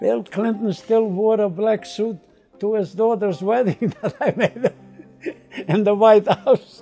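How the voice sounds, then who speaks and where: A man talks while faint music sits in the background. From Czechoslovakia. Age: 80s+. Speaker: master tailor; Holocaust survivor. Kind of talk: interview answer. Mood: proud, reflective. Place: office.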